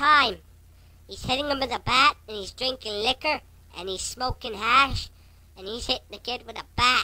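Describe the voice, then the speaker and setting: On a very clean recording with a silent background, a female-sounding voice performs a high-pitched put-on character voice at a moderate pace. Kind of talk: prank phone call. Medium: role play. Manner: exaggerated comic voice.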